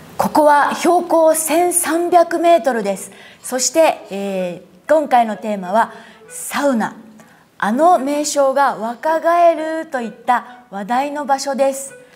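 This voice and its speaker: With music in the background, a woman speaks at high pitch and a fairly slow pace. Her intonation is lively, with big swings in loudness. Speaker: newspaper reporter. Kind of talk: news interview host. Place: cafe. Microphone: lapel.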